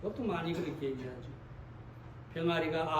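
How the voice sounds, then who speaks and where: Through noticeable background noise and audible room echo, a man speaks in a high pitch. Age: old. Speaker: pastor. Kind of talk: sermon.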